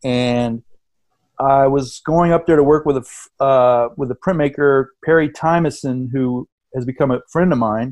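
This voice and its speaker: A man with an American accent talks at a fairly slow pace, his pitch fairly high and his intonation fairly even. The sound is dry and close with no echo, and it is an ordinary speaking voice. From grew up abroad and in the US (Indonesia, Venezuela, Massachusetts boarding school). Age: 50s. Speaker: artist and printmaker. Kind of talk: casual interview chat.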